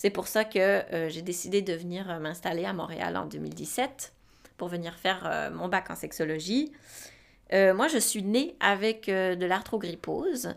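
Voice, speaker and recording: Very slow delivery on a very clean recording with a silent background. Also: woman. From Switzerland. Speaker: podcast co-host. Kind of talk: casual chat. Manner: halting.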